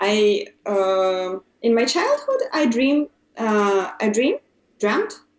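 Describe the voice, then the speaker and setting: A woman with a Russian accent talks at a fairly high pitch. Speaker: English learner. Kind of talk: casual chat. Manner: halting, many fillers.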